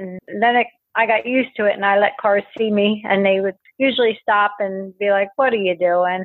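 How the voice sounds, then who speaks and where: Speaking at a fairly quick pace with a fairly even intonation, a woman with an American accent has a normal speaking voice pitched fairly high. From Pennsylvania. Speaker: horse farmer and runner. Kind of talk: interview testimony.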